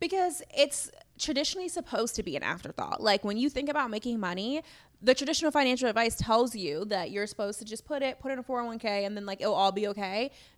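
A woman with an American accent, fairly high-pitched, her pitch swinging very widely at a very fast pace. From Chicago, US Midwest. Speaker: financial advisor and CFO. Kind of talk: podcast interview. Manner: fast talker.

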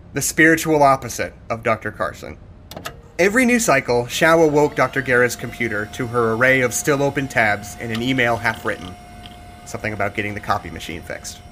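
Noticeable background noise sits behind a man of medium pitch who speaks at a fairly quick pace with ordinary pitch variation. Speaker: narrator. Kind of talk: horror fiction narration. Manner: grim, atmospheric storytelling.

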